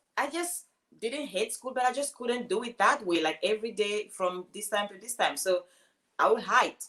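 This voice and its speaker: A woman with a Cameroonian accent speaks at a moderate pace, her pitch fairly high and her intonation lively. Her tone is bright and sharp, with big swings in loudness. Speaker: life coach and speaker. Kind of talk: casual interview.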